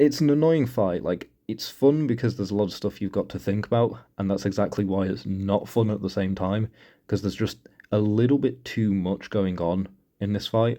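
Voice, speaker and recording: A man's fairly low, dark, mellow voice at a moderate pace with ordinary pitch variation. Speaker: mobile game player. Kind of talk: casual game walkthrough commentary. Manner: hesitant, stuttering at times.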